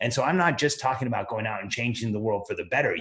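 Somewhat breathy and medium in pitch, the man talks at a very fast pace with ordinary pitch variation. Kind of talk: pep talk. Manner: fervent, rallying, emphatic; direct, urgent, addressing listeners.

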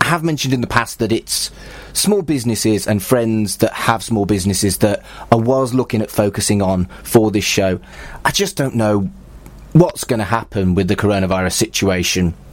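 At a moderate pace, a man speaks in a normal speaking voice at a fairly low pitch with ordinary pitch variation. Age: 40s. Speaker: podcast host and humanist celebrant. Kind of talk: scripted narration.

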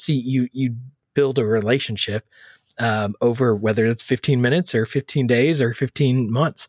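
A man speaks in an ordinary speaking voice at medium pitch and a moderate pace, with fairly even intonation and very even loudness, on a very clean recording with a silent background and a dry, close sound with no echo. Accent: American. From Texas. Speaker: church social media author. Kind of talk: interview.

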